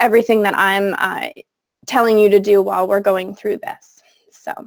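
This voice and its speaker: A woman speaks at a moderate pace and a medium pitch, her intonation monotone and flat. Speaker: technology coach and former teacher. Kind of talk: webinar tutorial. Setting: video call.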